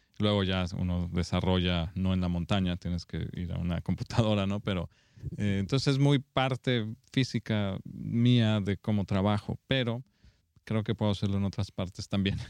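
A man speaks at a moderate pace with a fairly low pitch and ordinary pitch variation. The sound is dry and close with no echo, over a quiet background. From Mexico (Guanajuato). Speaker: film director. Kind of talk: interview. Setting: film festival. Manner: halting.

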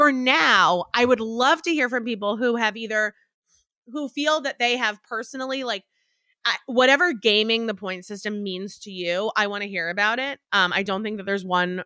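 Bright and sharp in tone, a woman talks at a moderate pace with ordinary pitch variation and an animated tone. The recording is very clean with a silent background and a dry, close sound with no echo. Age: 30s. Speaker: podcast host. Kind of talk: casual chat. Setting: home recording.

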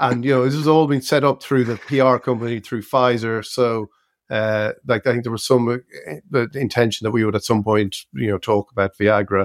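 A man with an Irish accent, medium pitch and ordinary pitch variation, at a moderate pace, in a dry, close sound with no echo. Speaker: podcast co-host, journalist. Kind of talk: casual chat.

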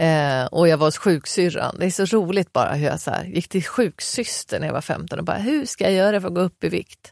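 In a very clean recording with a silent background, a woman with vocal fry speaks at a fairly quick pace, with lively intonation and hardly any pauses. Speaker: podcast co-host. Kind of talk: casual chat. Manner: animated.

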